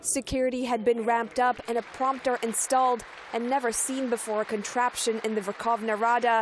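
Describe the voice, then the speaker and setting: The intonation is flat and monotone, with very even loudness. Noticeable background noise runs underneath. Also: woman, fairly high pitch for a woman, fairly quick pace. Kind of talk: TV news narration.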